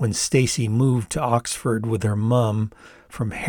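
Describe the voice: Text is read out plainly, the intonation staying fairly even.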